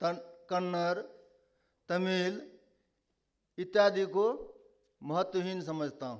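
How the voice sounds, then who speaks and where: A man speaks with audible room echo. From Nepali-speaking family, Maithili region. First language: Nepali (speaking Hindi). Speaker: conference speaker. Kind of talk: conference speech. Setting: stage with audience.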